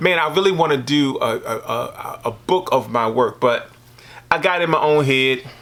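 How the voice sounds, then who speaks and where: A man's voice with noticeable background noise. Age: 60s. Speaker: visual artist. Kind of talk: casual interview.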